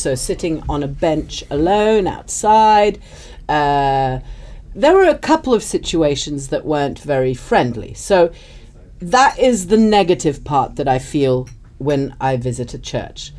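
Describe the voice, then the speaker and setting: This woman's pitch is fairly low yet swings very widely. She talks at a fairly slow pace. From Madeira, Portugal. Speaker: storyteller. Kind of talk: casual chat.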